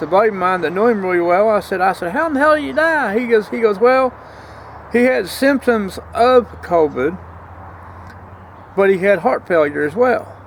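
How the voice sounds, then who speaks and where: A man with an American accent speaks at a moderate pace and a high pitch, with very wide pitch swings. Noticeable background noise is present. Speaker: vlogger. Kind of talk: casual vlog monologue. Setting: outdoors.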